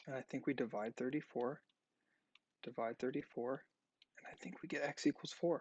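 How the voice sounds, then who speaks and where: Soft-spoken at a moderate pace, a man pauses long and often, his loudness swinging widely and his pitch varying in an ordinary way, in a dry, close sound with no echo. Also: medium pitch for a man. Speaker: math teacher. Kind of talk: tutorial.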